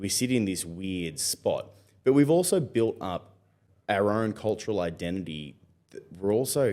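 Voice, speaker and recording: With an Australian accent, a man speaks at a moderate pace in a dark, mellow tone with lively intonation. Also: fairly low pitch for a man. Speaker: musician and station announcer. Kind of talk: podcast interview.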